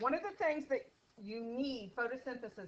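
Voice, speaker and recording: Loud and high-pitched, a woman speaks at a fairly slow pace with lively intonation. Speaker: teacher. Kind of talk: classroom lecture. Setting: classroom. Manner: casual.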